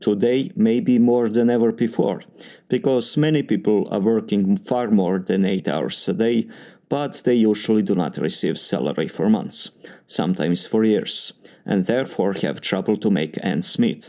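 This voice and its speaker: At a moderate pace, a man with a Serbian accent speaks in a fairly low, dark, mellow voice, his loudness very even and his intonation lively. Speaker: doctoral student in engineering. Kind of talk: spoken test answer samples. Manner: formal.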